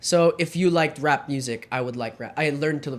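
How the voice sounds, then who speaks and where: A man with an American accent speaks at a moderate pace in a very clean recording with a silent background. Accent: sounds American. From Germany (countryside), British-Filipino third culture kid. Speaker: podcast host. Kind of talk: casual chat.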